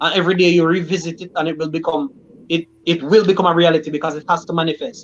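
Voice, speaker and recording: Speaking at a very fast pace, a man uses a high voice with fairly even intonation. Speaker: livestream host; teacher. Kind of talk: casual live chat.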